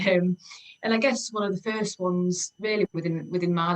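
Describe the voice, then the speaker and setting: A woman with a slight Yorkshire accent, fairly low in pitch, at a moderate pace. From Yorkshire, northern England (Leeds, York). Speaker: homecare business owner, former mental health nurse. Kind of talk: interview. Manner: hesitant, many fillers and repetitions.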